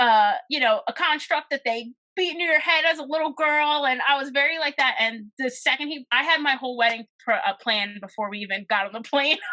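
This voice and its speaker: Raising and projecting her high-pitched voice, a woman with an American accent talks at a fairly quick pace with lively intonation and a bright, sharp tone. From Philadelphia, US Northeast. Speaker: talent coordinator and event curator. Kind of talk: podcast interview, casual chat. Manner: loud and outgoing; animated.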